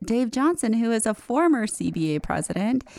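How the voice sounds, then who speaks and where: A fairly high-pitched woman at a moderate pace, an unremarkable speaking voice on a very clean recording with a silent background. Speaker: lawyer and podcast host. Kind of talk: interview. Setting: studio.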